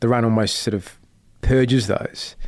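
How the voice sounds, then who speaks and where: The speech comes at a moderate speed. It is spoken in an Australian accent. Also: man. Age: 40s. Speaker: investigative journalist. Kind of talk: interview.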